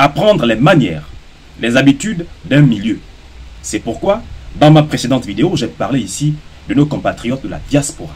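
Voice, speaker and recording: With a fairly high pitch and very wide pitch swings, a man talks at a moderate pace, leaving long, frequent pauses. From Gabon. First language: Gisir (speaking French). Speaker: social media commentator. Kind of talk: opinion monologue. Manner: formal; combative.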